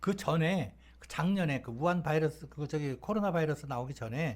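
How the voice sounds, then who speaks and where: With lively intonation, a man speaks at a fairly quick pace. His voice is fairly high-pitched and somewhat breathy. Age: 60s. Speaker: talk show guest telling life stories. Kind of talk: casual storytelling chat. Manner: casual, conversational with fillers.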